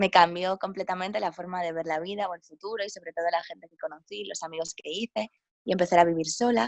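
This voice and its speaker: Her loudness swinging widely, a woman talks at a very fast pace. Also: medium pitch for a woman, ordinary pitch variation. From Spain, Galicia (A Coruña). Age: 20s. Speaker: travel writer and yoga teacher. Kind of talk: interview.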